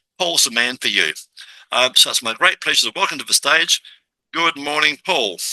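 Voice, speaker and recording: A man with an Australian accent, vocal fry and a bright, sharp tone, lively intonation at a moderate pace, in a dry, close sound with no echo. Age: 70s. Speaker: business podcast host. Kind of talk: interview introduction. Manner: animated.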